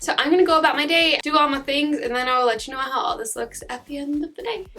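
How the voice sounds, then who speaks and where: A woman talks at a very fast pace in a raised, projected voice, with a high pitch and lively intonation. Noticeable background noise runs behind her. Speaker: beauty YouTuber. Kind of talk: makeup tutorial and review.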